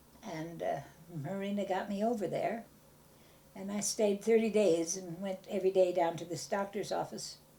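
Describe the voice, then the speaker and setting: Over noticeable background noise, a woman with an American accent speaks with fairly even intonation and big swings in loudness. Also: medium pitch for a woman, moderate pace. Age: 80s+. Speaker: elderly local resident interviewed about town history. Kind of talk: oral history interview. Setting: at home. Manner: halting, many hesitations.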